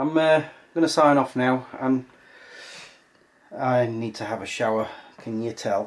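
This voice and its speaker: A man with an English accent speaks at a fairly slow pace, with long, frequent pauses. His pitch variation is ordinary. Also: medium pitch for a man. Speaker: vlogger. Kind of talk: casual vlog talk. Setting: outdoors walking dog.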